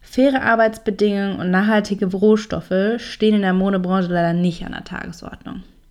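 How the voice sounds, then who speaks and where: Fairly quick and fairly even in intonation, a woman talks at medium pitch in a plain, everyday voice. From Franconia, Germany. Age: 20s. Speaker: podcast host. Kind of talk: podcast intro monologue.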